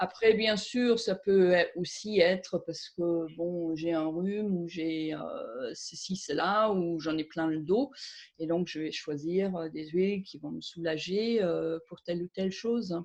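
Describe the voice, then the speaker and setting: A woman at a very slow pace, with big swings in loudness and ordinary pitch variation. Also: fairly low pitch for a woman. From Germany. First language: German (speaking French). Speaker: aromatherapist and author. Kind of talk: interview. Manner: hesitant, many fillers.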